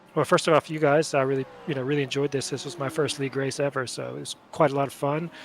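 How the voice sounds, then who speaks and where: A man with an American accent talks in a fairly high pitch and monotone, flat intonation, with noticeable background noise behind him. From USA, North Carolina. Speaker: sim racing driver. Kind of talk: post-race interview. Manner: hesitant, many fillers.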